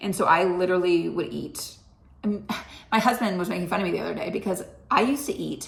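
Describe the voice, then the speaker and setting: Audible room echo surrounds a woman talking at a very fast pace, her pitch medium and its variation ordinary. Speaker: health vlogger. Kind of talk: casual vlog monologue. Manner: chatty and conversational.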